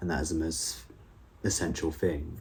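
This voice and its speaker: A man with a British accent speaks at a moderate pace in a very deep, low pitch, with a dark, mellow tone, vocal fry, fairly even intonation and audible room echo. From UK. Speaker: YouTuber, school learning support assistant. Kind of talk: reflective vlog monologue. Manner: casual, with fillers.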